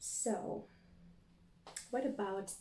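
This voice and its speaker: A woman in a Latvian accent, with fairly even intonation and audible room echo. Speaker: tarot reader. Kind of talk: spiritual reading monologue.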